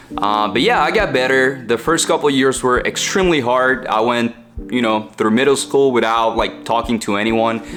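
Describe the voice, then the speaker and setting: Speaking with a strong Mexican accent at medium pitch and very even loudness, a man is heard over noticeable background noise. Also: ordinary pitch variation, moderate pace. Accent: heavy Mexican Spanish. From central Mexico. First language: Spanish. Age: 20s. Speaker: online entrepreneur, content creator. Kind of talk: personal story vlog. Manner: casual, with fillers.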